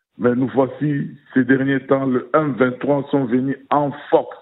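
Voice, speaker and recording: A man's very slow speech at a fairly high pitch. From Democratic Republic of the Congo. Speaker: radio listener leaving message. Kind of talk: voicemail opinion message.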